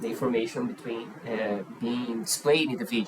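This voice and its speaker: Through noticeable background noise, a man with a Portuguese accent speaks with very wide pitch swings. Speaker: YouTuber. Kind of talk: react video commentary. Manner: halting.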